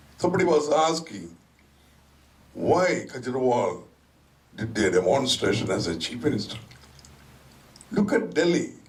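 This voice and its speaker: A man with a fairly high voice speaks at a moderate pace, his pitch swinging very widely, with long, frequent pauses and audible echo in the room. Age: 70s. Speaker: community speaker. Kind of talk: public speech.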